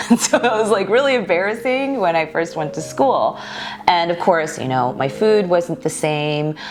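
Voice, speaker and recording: Noticeable background noise behind a woman's fairly low voice, moderately paced, with very wide pitch swings. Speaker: YouTube creator. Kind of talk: casual chat.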